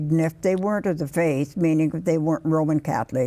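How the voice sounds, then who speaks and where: A woman's fairly low voice, dark and mellow in tone, with fairly even intonation. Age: old. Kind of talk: interview answer.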